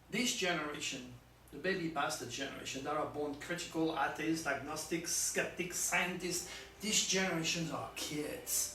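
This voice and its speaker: A man with a French accent speaks at a fairly high pitch. There is noticeable background noise and audible room echo. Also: moderate pace. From France. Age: 60s. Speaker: astrologer. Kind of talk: video monologue. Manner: animated.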